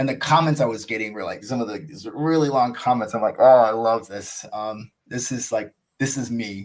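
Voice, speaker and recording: A man with an American accent speaks at a moderate pace and medium pitch, with ordinary pitch variation and hardly any pauses. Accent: American accent noticed by others. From United States. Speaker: cricket YouTuber. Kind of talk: podcast interview. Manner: casual, filler-heavy.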